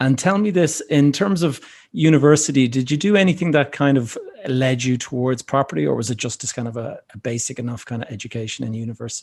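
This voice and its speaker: A man with an Irish accent at a very fast pace, somewhat breathy, with lively intonation. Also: medium pitch for a man. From Ireland. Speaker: podcast host. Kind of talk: podcast interview.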